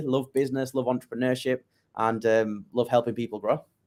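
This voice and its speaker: This man speaks at a fairly quick pace with a medium pitch and a northern English accent. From northern England, Leeds. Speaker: digital marketing agency owner. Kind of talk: interview.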